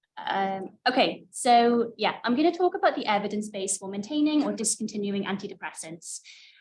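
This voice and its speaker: Somewhat breathy and fairly high in pitch, a woman speaks with hardly any pauses. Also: lively intonation, fairly quick pace. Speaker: mental health researcher. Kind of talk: lecture. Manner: soft-spoken.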